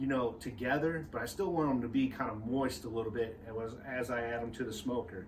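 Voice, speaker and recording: In an energetic tone, a man with a medium pitch speaks at a moderate pace with ordinary pitch variation. Audible room echo and noticeable background noise fill the recording. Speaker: barbecue company cook and presenter. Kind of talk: cooking tutorial. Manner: casual, energetic.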